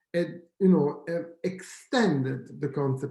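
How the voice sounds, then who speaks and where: A man's fairly slow speech with an Italian accent and audible room echo. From Italy. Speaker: professor. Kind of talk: lecture. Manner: hesitant, with fillers and self-corrections.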